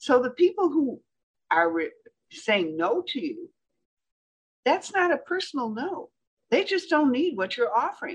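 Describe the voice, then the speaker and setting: An American accent at a fairly slow pace, with very wide pitch swings and long, frequent pauses. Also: woman, high pitch for a woman. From Michigan, US Midwest. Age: 80s+. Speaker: speaking coach. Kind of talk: interview.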